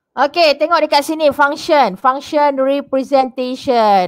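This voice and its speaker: A woman speaks at a very slow pace in a high pitch. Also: quiet background. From Malaysia. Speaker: secondary school teacher. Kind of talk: online class lesson. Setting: online video class. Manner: code-switching Malay and English. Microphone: headset.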